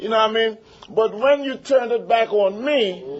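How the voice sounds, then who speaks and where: Against noticeable background noise, a man speaks in an animated tone with lively intonation. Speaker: recovering addict sharing at a meeting. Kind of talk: testimony.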